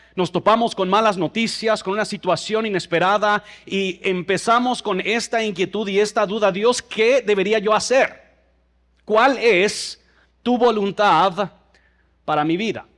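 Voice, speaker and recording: A man with a high pitch talks at a fairly slow pace. His intonation is fairly even. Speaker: pastor. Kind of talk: sermon.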